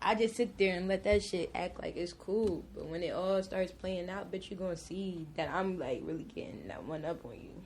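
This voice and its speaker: At a moderate pace, the speaker uses an American accent, vocal fry, and big swings in loudness. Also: woman, medium pitch for a woman, ordinary pitch variation. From New Jersey, Willingboro. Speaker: podcast guest. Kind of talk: casual chat.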